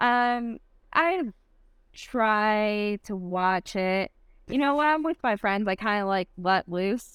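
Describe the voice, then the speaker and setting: A woman's fairly high voice with a slight Michigan accent, lively intonation and a very slow pace. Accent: slight Michigan accent, nasal. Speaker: CrossFit athlete. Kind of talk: casual interview chat.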